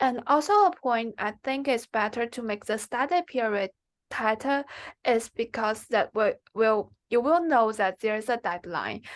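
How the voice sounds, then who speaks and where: A fairly slow voice with a Chinese accent and ordinary pitch variation, dry and close with no echo, against a quiet background. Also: woman, fairly high pitch for a woman. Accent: Mandarin Chinese. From China, Xi'an (northwest). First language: Mandarin Chinese. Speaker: MBA applicant, finance professional. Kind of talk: interview. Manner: halting.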